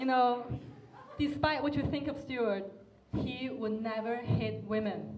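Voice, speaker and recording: A woman with a non-native accent speaks at a high pitch, very slowly, with long, frequent pauses. Noticeable background noise and audible room echo surround her. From China. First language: not English. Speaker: comedian. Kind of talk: roast battle stand-up. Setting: stage with audience.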